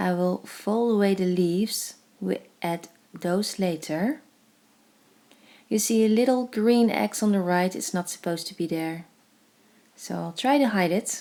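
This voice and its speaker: A woman with a Dutch accent speaks at a medium pitch, in a dark, mellow tone, with ordinary pitch variation. Her pace is fairly slow, with long, frequent pauses. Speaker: crafts tutorial creator. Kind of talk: tutorial voice-over. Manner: hesitant, with fillers.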